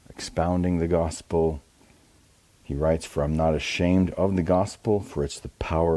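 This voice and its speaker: Soft-spoken, this man has a very deep, low pitch and a dark, mellow tone. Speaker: pastor. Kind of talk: devotional talk.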